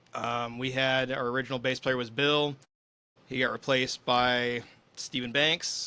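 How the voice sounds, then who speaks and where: Bright and sharp in tone, a man speaks at a medium pitch. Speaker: podcast host and musician. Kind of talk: casual chat. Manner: fast.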